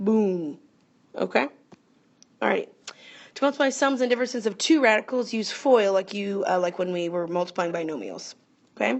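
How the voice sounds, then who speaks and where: A woman speaks at medium pitch with vocal fry. Her pitch swings very widely. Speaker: math teacher. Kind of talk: tutorial. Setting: recorded video lesson. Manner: fast.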